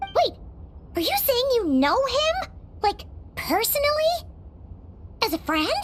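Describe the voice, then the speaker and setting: A put-on character voice at an extremely high pitch moves slowly with long, frequent pauses and very wide pitch swings, over clear background noise. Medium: fan dub. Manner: casual, friendly.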